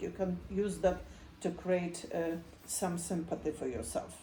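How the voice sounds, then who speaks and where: A woman talks with a Polish accent. Room echo is audible. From Poland. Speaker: psychotherapist. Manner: halting.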